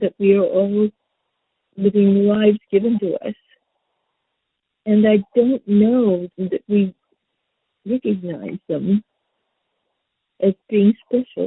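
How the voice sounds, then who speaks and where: Long, frequent pauses mark this woman's very slow delivery. She speaks with an American accent and fairly even intonation. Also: medium pitch for a woman. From Detroit, Michigan. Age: 80s+. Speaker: national park ranger, civil rights activist. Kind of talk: interview answer.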